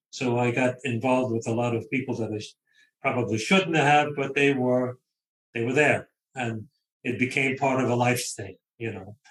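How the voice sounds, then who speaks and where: A man in a Brooklyn accent, medium in pitch, at a moderate pace with fairly even intonation. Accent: New York (Brooklyn). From US Northeast, Brooklyn, New York. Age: 70s. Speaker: author. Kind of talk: interview.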